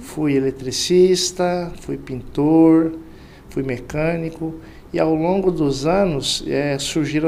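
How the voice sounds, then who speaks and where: Audible room echo surrounds this man's voice. He speaks at a fairly high pitch with fairly even intonation. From Mato Grosso, interior Brazil. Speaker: sales director. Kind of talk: interview podcast. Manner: hesitant fillers.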